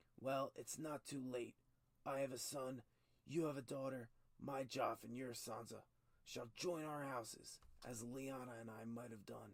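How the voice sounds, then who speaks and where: A man puts on a character voice at a medium pitch with fairly even intonation. He moves at a moderate pace, with long, frequent pauses. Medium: read story. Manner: blunt, hearty, impatient.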